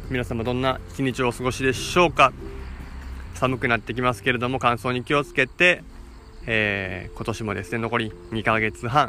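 Moderate in pace, a man talks at a medium pitch. His pitch varies in an ordinary way. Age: 30s. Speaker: sports trainer and podcast host. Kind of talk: solo podcast monologue. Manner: formal, polite; halting with frequent fillers.

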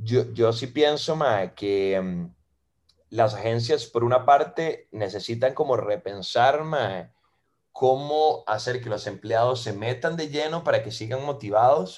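Against a quiet background, a man of medium pitch speaks at a very slow pace with ordinary pitch variation. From Costa Rica. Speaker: advertising creative and musician. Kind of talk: casual interview.

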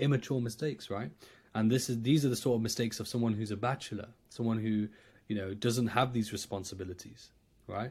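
In an East Midlands accent, a somewhat breathy voice talks at a very fast pace with fairly even intonation, recorded very cleanly against a silent background. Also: man. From England, Nottingham. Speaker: trader and coach. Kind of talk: podcast interview.

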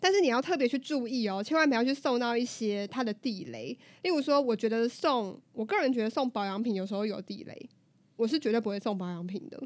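Over a silent background in a very clean recording, a woman talks at a fairly quick pace in an ordinary speaking voice with lively intonation. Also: fairly high pitch for a woman. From southern Taiwan. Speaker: podcast co-host. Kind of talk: casual chat.

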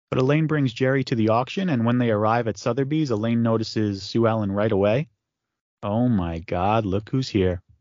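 Speaking at a fairly quick pace, a man uses a plain, everyday voice at medium pitch with ordinary pitch variation and very even loudness. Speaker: podcast host. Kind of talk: casual chat.

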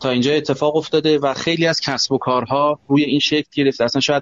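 An ordinary speaking voice talks at a fairly quick pace with fairly even intonation. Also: man. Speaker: banking tech company CEO. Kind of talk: live panel discussion.

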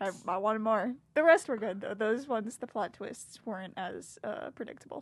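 Here is a plain, everyday voice at a moderate pace with hardly any pauses. It shows ordinary pitch variation and big swings in loudness. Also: woman, fairly high pitch for a woman. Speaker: college student guest. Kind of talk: casual chat.

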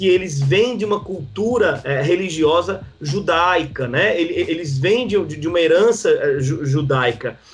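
With music in the background, a man at a high pitch speaks at a fairly slow pace, using lively intonation. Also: hardly any pauses. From Northeast Brazil (João Pessoa, Paraíba). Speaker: pastor. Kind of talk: podcast interview, teaching. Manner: halting, many fillers.

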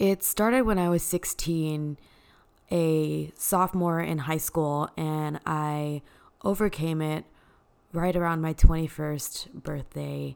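A woman with an American accent, very deep and low in pitch, very slow in pace, with fairly even intonation. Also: very clean recording, silent background. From Texas, Dallas. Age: 20s. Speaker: podcaster, spin instructor. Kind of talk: personal testimony.

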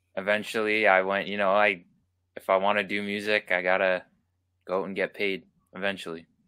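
Bright and sharp, the voice stays monotone and flat. The recording is very clean, with a silent background. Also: man. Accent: Canadian. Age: 20s. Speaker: musician and sports announcer. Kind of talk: interview answers.

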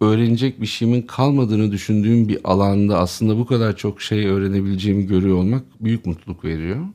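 A man's fairly low, dark and mellow voice at a fairly quick clip, with hardly any pauses, over a quiet background. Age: 50s. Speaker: co-founder of an online video channel. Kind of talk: casual chat.

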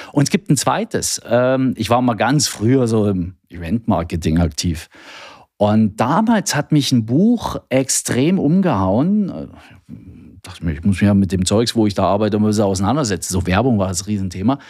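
An unremarkable speaking voice with lively intonation at a moderate pace, on a very clean recording with a silent background. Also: man, fairly low pitch for a man. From East Germany. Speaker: health IT sales manager. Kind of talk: casual interview. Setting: studio.

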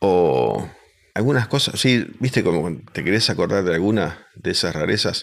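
Very wide pitch swings and vocal fry at a fairly slow pace. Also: man, very deep, low pitch for a man. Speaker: comedian. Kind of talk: casual chat.

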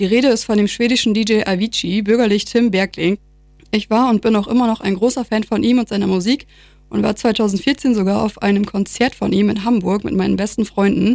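Here a woman has an unremarkable speaking voice, fairly high in pitch, moving at a fairly quick pace with fairly even intonation and very even loudness. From Lower Saxony, Vechta district. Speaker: student radio presenter. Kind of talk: radio presenting.

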